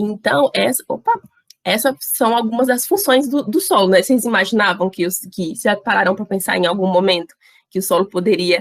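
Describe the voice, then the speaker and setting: In a dry, close sound with no echo, a woman with an unremarkable speaking voice talks at a moderate pace and medium pitch with ordinary pitch variation. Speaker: university student workshop presenter. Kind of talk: online workshop lecture.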